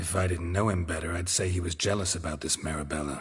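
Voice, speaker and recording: Rattling along at a very fast pace, a man uses a put-on character voice that is raspy and very deep, low in pitch. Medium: video game. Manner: terse, dry, deadpan.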